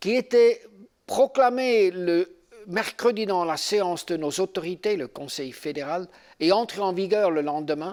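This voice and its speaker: With a Swiss German accent, a man speaks very slowly at a high pitch, with ordinary pitch variation. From German-speaking Switzerland. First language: Swiss German (speaking French). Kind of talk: seminar teaching with personal testimony. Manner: halting, with fillers.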